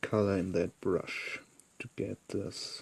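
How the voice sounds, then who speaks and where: The speaker has a non-native accent and talks at a very slow pace. The sound is dry and close, with no echo. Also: man. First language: not English. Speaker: miniature painter. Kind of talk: tutorial. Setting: live stream.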